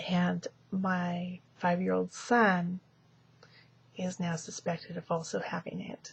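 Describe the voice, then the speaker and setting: A soft-spoken, somewhat breathy woman with monotone, flat intonation, a very slow pace and long, frequent pauses. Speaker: vlogger. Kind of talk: casual video diary. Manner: halting, many fillers.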